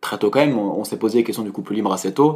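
Pitch moves in an ordinary way through this very fast speech. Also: man. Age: 20s. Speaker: political science student. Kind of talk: casual interview. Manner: hesitant, many fillers.

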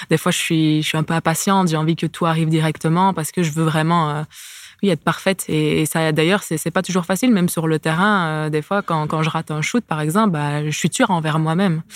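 A woman's very deep, low voice at a fairly quick pace, fairly even in intonation, with a dry, close sound and no echo. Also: very clean recording, silent background. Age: 20s. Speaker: professional basketball player. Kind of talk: casual interview.

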